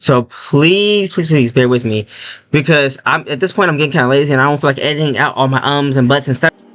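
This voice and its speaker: The man speaks at a very fast pace and fairly high pitch, with ordinary pitch variation. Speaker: gaming YouTuber. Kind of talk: casual commentary video. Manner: stuttering, many fillers.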